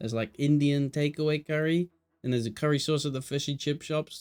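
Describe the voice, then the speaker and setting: Here is a man with an English Midlands accent at a medium pitch. The recording is very clean, with a silent background. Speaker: esports caster and streamer. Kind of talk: live commentary with casual chat to stream viewers. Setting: live stream from home, new room. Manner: animated.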